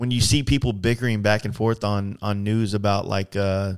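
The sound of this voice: A man speaks at a moderate pace in a clear, smooth tone, his fairly low pitch showing little movement.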